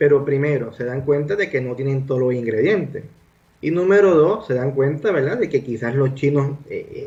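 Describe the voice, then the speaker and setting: A man's dark, mellow, somewhat breathy voice at a moderate pace with ordinary pitch variation. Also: fairly high pitch for a man. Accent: Puerto Rican. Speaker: doctor, guest sharing family history. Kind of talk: radio interview. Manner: halting, many fillers.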